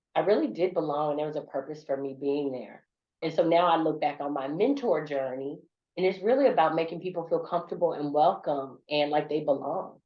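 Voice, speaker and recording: Talking at a fairly quick pace, a woman with a Southern US accent has a very deep, low pitch and ordinary pitch variation. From US South. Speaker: corporate business leader and speaker. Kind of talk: podcast interview.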